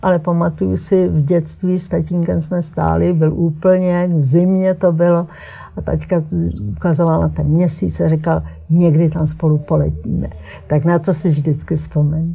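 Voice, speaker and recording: A woman talks fairly slowly while background noise is noticeable. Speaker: textile artist and painter. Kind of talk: interview. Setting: TV studio.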